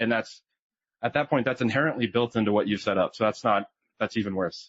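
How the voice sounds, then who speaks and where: The speaker is male. His pitch is medium. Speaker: trade show presenter, software architect. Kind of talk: conference presentation. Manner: fast.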